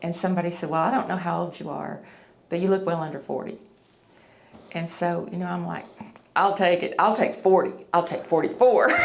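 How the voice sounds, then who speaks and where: In a Tennessee accent, a woman talks at a fairly quick pace, broken by long, frequent pauses. Room echo is audible. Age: 50s. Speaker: facelift patient. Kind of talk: testimony. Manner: halting.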